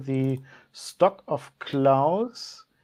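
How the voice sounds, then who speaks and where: A woman speaks with a German accent and ordinary pitch variation. The background is quiet. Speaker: channel host. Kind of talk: live tasting chat. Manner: halting.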